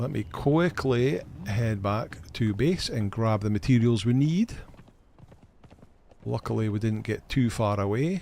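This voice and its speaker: A man speaks at a fairly slow pace in a medium pitch, with a dark, mellow and relaxed tone. His intonation is lively, and he leaves long, frequent pauses. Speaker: gaming live streamer. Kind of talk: live gameplay stream chat. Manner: casual, relaxed.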